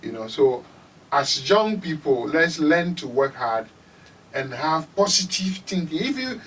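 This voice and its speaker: A man talks at a moderate pace with a Ghanaian accent. His pitch swings very widely. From Ghana, Volta Region. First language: Ewe. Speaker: musician. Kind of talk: interview.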